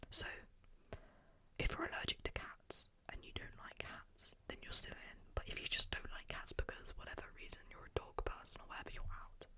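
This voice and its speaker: Whispering at a moderate pace. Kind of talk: interactive ASMR game for sleep. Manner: whispered.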